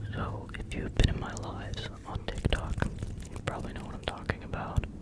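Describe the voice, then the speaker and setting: Whispering at a moderate pace, a man's voice swings widely in loudness against noticeable background noise. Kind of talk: ASMR tattoo tracing with close whispers. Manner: soft, repetitive, close-mic.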